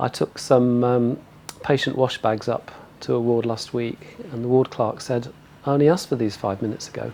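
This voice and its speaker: A man with a plain, everyday voice, medium in pitch, with fairly even intonation at a moderate pace. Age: 60s. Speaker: hospital volunteer. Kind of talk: interview testimony.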